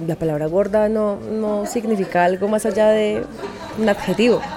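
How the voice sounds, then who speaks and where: A woman's fairly high voice against crowd noise in the background. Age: 30s. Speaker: podcast host and voice-over artist. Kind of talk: casual chat. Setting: recorded at a clothing fair with crowd.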